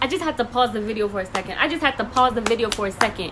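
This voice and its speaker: Speaking at a very fast pace in an animated tone, the voice comes through noticeable background noise. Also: woman. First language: not English. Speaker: reaction video creator. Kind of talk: reaction commentary.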